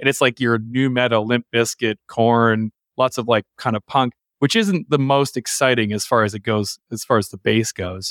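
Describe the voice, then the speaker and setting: In a normal speaking voice, a man with a Canadian accent talks at a moderate pace and medium pitch, recorded dry and close with no echo on a very clean track with a silent background. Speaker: bass player in a rock band. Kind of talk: casual interview.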